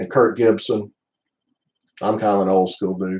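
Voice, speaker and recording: A man with a Southern US accent speaks at a fairly low pitch. His delivery is monotone, with flat intonation, at a moderate pace. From US South (Alabama, Birmingham area). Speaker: baseball card collector streamer. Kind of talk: casual chat. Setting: live stream from home office.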